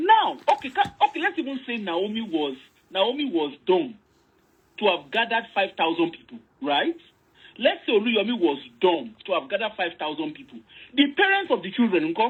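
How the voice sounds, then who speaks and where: An animated woman's voice, fairly high in pitch, at a moderate pace, with very wide pitch swings and big swings in loudness. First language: Yoruba. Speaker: online commentator. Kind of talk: casual discussion, code-switching Yoruba and English.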